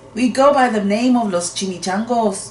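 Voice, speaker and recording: A female-sounding voice puts on a growling character voice with a fairly high pitch. She moves at a moderate pace over clear background noise. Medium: read story. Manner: gruff, somber.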